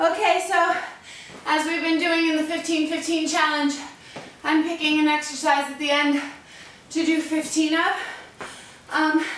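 At a moderate pace and in a flat monotone, a woman with an extremely high pitch speaks with long, frequent pauses, over light background noise and audible room echo. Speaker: fitness instructor. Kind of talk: workout tutorial. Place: garage. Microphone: camera far.

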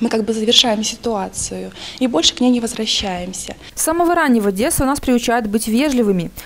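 Speaking at a fairly quick pace with lively intonation, the voice comes through over noticeable background noise. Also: woman, fairly high pitch for a woman. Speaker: TV journalist. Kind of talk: scripted narration.

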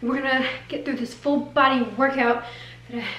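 A woman speaks at a very fast pace over light background noise, with audible room echo. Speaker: fitness vlogger. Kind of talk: casual vlog chat. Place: kitchen.

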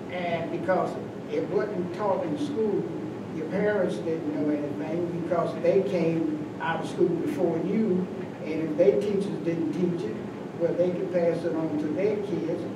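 A man with an American accent talks at a fairly slow pace. Noticeable background noise and audible room echo are present. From US South (western North Carolina). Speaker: community elder, retired postal worker. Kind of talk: oral history round table. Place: meeting room. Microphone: camera far.

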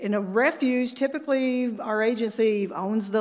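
A woman's voice, with ordinary pitch variation, comes through over a quiet background. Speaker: climate scientist; conference presenter. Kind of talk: conference presentation. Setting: stage with audience. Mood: enthusiastic. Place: hall.

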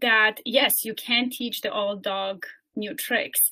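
Very slowly, a woman speaks in a bright, sharp tone against a quiet background. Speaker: coach and speaker. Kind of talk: guided meditation; webinar presentation. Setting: video call webinar. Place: home room. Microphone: webcam.

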